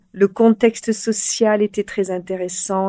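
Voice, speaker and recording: With a dark, mellow tone, a woman speaks in a monotone, flat intonation. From France, Corrèze (Brive). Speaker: media company CEO. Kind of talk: interview.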